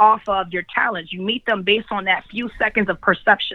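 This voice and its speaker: A woman speaks with a New York accent. Her pace is moderate and her pitch medium. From Brooklyn, New York. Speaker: field accounts manager. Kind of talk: interview.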